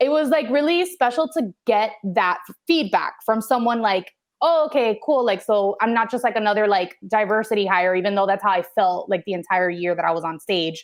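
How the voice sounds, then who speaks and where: A woman's fairly high voice with a Spanish accent and lively intonation. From Miami. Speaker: actor and comedian. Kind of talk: casual chat. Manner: fast, filler-heavy.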